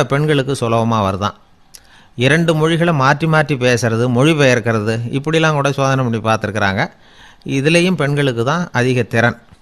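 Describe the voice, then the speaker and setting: A man with an unremarkable speaking voice, pitched fairly high, with ordinary pitch variation. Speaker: radio orator and storyteller, radio programme host. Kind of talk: humorous radio-style talk.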